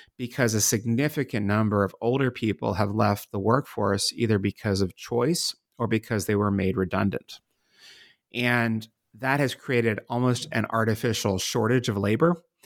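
A man's medium-pitched voice at a moderate pace, with ordinary pitch variation and very even loudness, dry and close with no echo, on a very clean recording with a silent background. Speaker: author and demographic futurist. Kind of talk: interview. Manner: hesitant with filler words.

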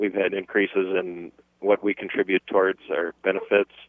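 A man talks at a moderate pace in a fairly low pitch. He has an ordinary speaking voice. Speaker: university employee. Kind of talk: call-in radio comment. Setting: phone call.

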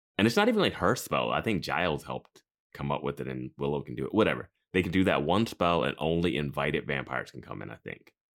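In vocal fry and a very deep, low pitch, a man talks at a very fast pace with lively intonation and big swings in loudness. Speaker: podcast host. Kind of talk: casual chat. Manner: joking.

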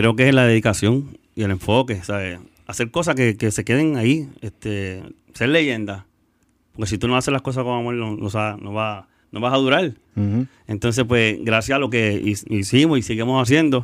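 A plain, everyday voice at a moderate pace with ordinary pitch variation, in a very clean recording with a silent background. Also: man, medium pitch for a man. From Puerto Rico. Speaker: reggaeton artist. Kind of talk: casual chat. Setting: studio.

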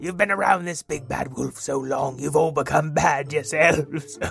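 In a put-on character voice, a man speaks at a moderate pace with a fairly high, raspy pitch over clear background noise. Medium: actual play. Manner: nervous, apologetic, laughs nervously.

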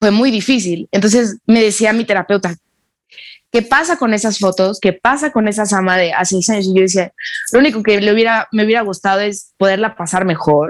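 Her loudness very even, a woman talks at a fairly quick pace with a medium pitch and ordinary pitch variation. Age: 20s. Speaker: actress. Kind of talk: interview testimony. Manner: halting.

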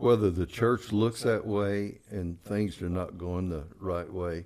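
At a very deep, low pitch, a man speaks fairly slowly with a dark, mellow tone and ordinary pitch variation. The recording is very clean, the background silent. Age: 70s. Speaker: pastor. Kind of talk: testimony.

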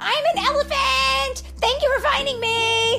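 A woman does a put-on character voice at an extremely high pitch, bright and sharp with vocal fry, at a fairly slow pace with fairly even intonation, over faint background music.

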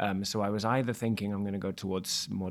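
A man with a British accent talks at a moderate pace, his pitch fairly low and his intonation fairly even. The recording is very clean, with a silent background. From Wales. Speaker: musical theatre actor. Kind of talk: casual chat.

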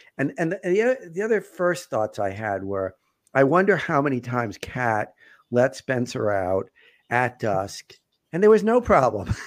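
A man with an American accent speaks at a fairly slow pace. His medium-pitched voice makes very wide pitch swings. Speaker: podcast host and family therapist. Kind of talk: casual live podcast chat. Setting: live online broadcast.

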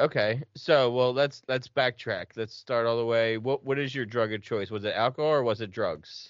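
Speaking with an American accent, a man with an unremarkable speaking voice keeps a medium pitch, fairly even intonation and a moderate pace. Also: hardly any pauses. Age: 30s. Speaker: podcast host. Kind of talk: casual interview. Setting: video call.

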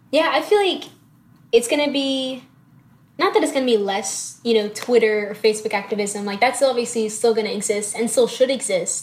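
A woman's fairly high voice at a fairly quick pace, with ordinary pitch variation. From Tennessee, US South. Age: 19. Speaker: poet and student. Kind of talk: casual interview. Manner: light-hearted.

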